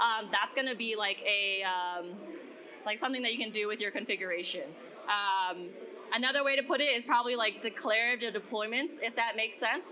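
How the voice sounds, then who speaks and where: At a fairly quick pace, a woman speaks in a fairly high pitch. Her pitch variation is ordinary. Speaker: developer advocate giving a workshop. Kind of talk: conference workshop talk. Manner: fast.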